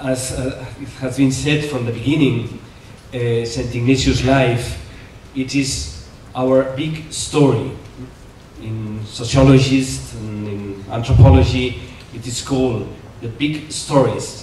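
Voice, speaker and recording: A man with a Spanish accent speaks at a very slow pace and a medium pitch, with fairly even intonation and big swings in loudness. Audible room echo and noticeable background noise fill the recording. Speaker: Jesuit priest, conference speaker. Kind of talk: conference lecture. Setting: conference hall with audience. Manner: halting, many fillers.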